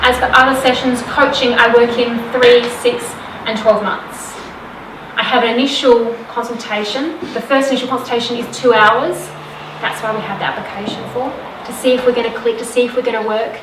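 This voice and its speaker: A loud woman talks at a fairly quick pace in a high pitch with monotone, flat intonation. Audible room echo and noticeable background noise are present. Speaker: women's wellness coach. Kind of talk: live talk to audience. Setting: stage with audience. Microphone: no microphone.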